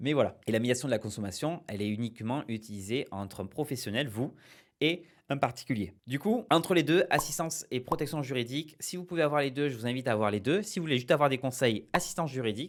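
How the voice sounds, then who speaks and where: Very fast speech with lively intonation and big swings in loudness, in a very clean recording with a silent background. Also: man, medium pitch for a man. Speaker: small-business advice youtuber. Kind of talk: explainer video. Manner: hesitant, many fillers.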